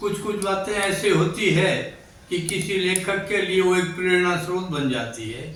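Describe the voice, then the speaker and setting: A man's high-pitched voice with ordinary pitch variation, amid audible room echo and noticeable background noise. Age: 80s+. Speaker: writer and social worker. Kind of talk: interview.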